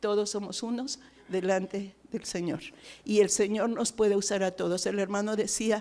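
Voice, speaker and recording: This woman has a medium pitch and a dark, mellow tone. She talks at a moderate pace with fairly even intonation. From Mexico. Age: 60s. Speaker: missionary. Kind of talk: testimony.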